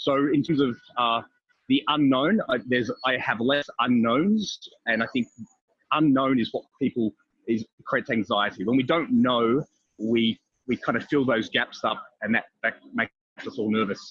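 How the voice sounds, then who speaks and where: A man speaks with an Australian accent and ordinary pitch variation. He leaves long, frequent pauses. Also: medium pitch for a man, moderate pace. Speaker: business consultant living abroad. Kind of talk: podcast interview. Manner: calm, steady; hesitant, many fillers.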